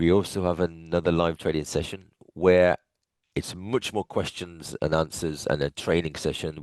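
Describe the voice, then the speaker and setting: Against a quiet background, the dry, close sound with no echo carries a speaker with an English accent talking at a moderate pace. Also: man. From England. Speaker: futures trading coach. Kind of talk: webinar presentation.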